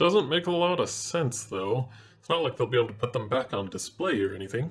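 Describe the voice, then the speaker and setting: Using a put-on character voice, a man speaks at a fairly quick pace in a medium pitch. His pitch makes very wide swings. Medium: read story. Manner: gruff.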